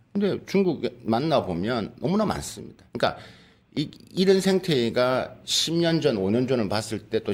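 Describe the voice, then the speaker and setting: A man's pitch rises and falls very widely on a very clean recording where the background is silent. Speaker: professor. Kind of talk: panel discussion. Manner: fast.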